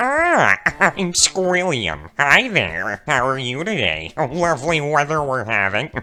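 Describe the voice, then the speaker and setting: A put-on character voice runs on with hardly any pauses. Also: man, fairly high pitch for a man, fairly slow pace. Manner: cheerful, polite, upbeat.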